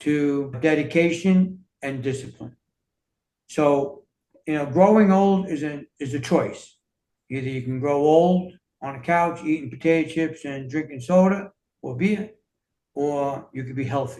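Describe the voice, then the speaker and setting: A man with a New York accent speaks at a fairly slow pace with long, frequent pauses and big swings in loudness. His fairly high pitch carries a dark, mellow tone and ordinary pitch variation. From US Northeast, New York City. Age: 60s. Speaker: fitness and self-healing coach, author. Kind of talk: interview conversation.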